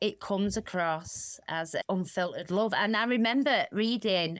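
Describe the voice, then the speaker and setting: A woman with a strong Manchester accent talks at a medium pitch with ordinary pitch variation. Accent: broad Mancunian. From Manchester, England. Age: 40s. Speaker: recovery charity co-founder. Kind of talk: podcast interview. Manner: animated.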